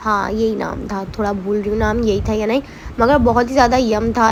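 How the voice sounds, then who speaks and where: The speech moves at a moderate pace with fairly even intonation. There is noticeable background noise. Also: woman. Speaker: vlogger. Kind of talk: vlog voiceover narration.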